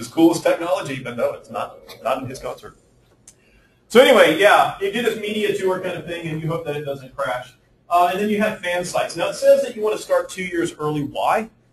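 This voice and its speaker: With audible room echo, a man speaks at a fairly quick pace with big swings in loudness. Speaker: university lecturer on game development. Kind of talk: lecture. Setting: classroom with students. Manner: halting, self-described stutter.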